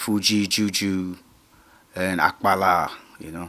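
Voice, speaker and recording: With monotone, flat intonation, a man talks in a very deep, low pitch carrying a bright, sharp tone. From Nigeria, grew up in Lagos. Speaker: musician. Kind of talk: interview. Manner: halting.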